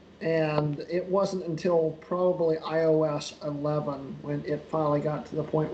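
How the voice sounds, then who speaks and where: A man with an American accent, a monotone, flat intonation, a moderate pace and hardly any pauses, amid noticeable background noise. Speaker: tech podcast panelist. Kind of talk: casual chat.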